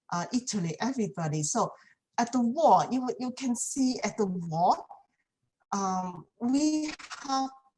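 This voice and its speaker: In a Chinese accent, a woman with fairly high pitch speaks at a fairly slow pace, making very wide pitch swings and long, frequent pauses. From China. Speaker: community speaker. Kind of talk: talk. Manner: halting, many fillers.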